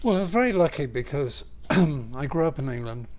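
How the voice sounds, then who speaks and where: Someone talks at a moderate pace with a southern English accent. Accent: southern English accent, little changed. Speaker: architect and world traveler. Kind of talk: interview. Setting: at home. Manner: hesitant, with fillers.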